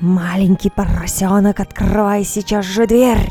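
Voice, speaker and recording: Loud and growling, a woman puts on a character voice at medium pitch and a moderate pace while clear music plays in the background. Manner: scary, menacing.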